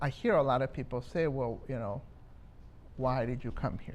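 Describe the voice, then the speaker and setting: A man speaks with a Spanish accent. His pitch sits fairly high. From Minnesota, Twin Cities (born in Mexico). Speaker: community advocate. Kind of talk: interview. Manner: hesitant, many fillers.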